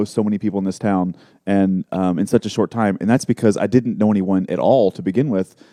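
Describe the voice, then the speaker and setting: With a slight Texas accent, a man talks at a fairly quick pace in a dark, mellow tone with ordinary pitch variation, the sound dry and close with no echo. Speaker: marketing entrepreneur. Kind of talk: casual interview.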